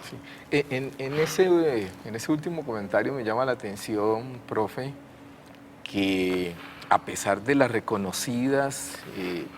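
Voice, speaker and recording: A man at a very slow pace with lively intonation, over noticeable background noise. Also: medium pitch for a man, big swings in loudness. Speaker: university lecturer, interviewer. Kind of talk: TV interview question.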